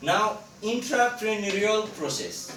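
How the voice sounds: A man with a high pitch talks at a slow pace, his bright, sharp tone and lively intonation carried by audible room echo.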